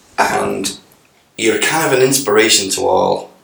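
Audible room echo around a man talking at a fairly slow pace. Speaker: podcast host. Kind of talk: casual chat.

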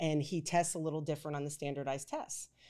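In a very clean recording with a silent background, a woman with an American accent speaks in a very deep, low, dark and mellow voice with monotone, flat intonation. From Pennsylvania, Pittsburgh. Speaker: family lawyer. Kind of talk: casual interview.

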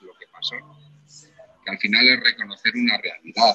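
A man's voice is heard with a dry, close sound and no echo. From Spain. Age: 40s. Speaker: actor. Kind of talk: casual chat.

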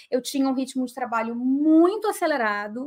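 Ordinary pitch variation comes across on a very clean recording with a silent background. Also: woman. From southern Brazil, Porto Alegre. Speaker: writer and mental health speaker. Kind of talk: live interview.

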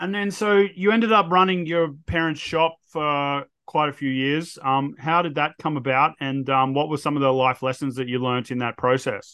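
A man with a fairly high pitch speaks in an Australian accent, with hardly any pauses. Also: ordinary pitch variation, moderate pace. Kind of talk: casual interview. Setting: remote call.

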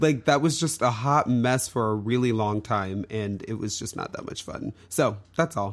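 With a plain, everyday voice, a man speaks at medium pitch and a moderate pace, showing ordinary pitch variation and hardly any pauses. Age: middle-aged. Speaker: podcast co-host. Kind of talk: casual chat.

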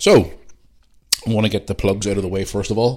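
A man speaks very fast in a fairly low pitch, his intonation fairly even. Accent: Northern Irish. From Northern Ireland. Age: 40s. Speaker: podcast host. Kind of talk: casual monologue. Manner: blunt and profane.

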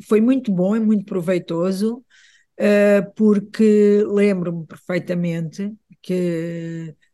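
A man's high-pitched voice, very slow in pace and fairly even in intonation, against a quiet background. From Portugal. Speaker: visual artist. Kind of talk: interview conversation. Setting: radio studio. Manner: halting, many repetitions.

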